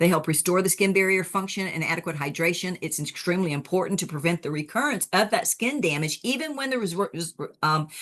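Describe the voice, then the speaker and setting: A woman talks at a very fast pace with hardly any pauses. Her pitch sits in the middle range. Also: lively intonation. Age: 70s. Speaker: wound care educator. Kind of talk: lecture. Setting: webinar.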